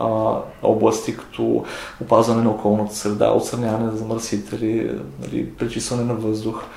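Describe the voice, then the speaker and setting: A man is heard over noticeable background noise, with audible echo from the room. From Bulgaria. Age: 30s. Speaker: university chemistry lecturer. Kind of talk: lab demonstration; interview. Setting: university lab.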